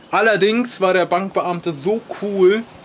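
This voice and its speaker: The intonation stays fairly even. Background noise is noticeable. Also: man. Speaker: travel vlogger. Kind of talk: vlog. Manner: hesitant, many fillers; casual.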